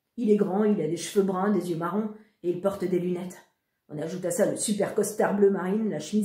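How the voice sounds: A natural reading voice, with fairly even intonation, is heard over a quiet background.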